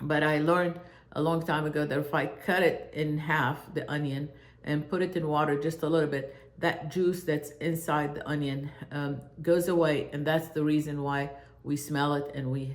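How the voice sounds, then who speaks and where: Noticeable background noise behind a moderate pace. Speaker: home cooking channel host. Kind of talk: casual monologue introducing channel. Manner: hesitant, many fillers.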